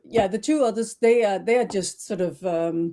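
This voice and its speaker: A woman speaks with a Danish accent. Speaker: trademark consultant. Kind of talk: interview. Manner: halting, many fillers.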